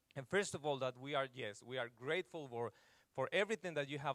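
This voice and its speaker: This man speaks with a non-native accent. His pitch is fairly high. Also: dry, close sound with no echo. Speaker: pastor. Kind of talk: church talk. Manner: halting.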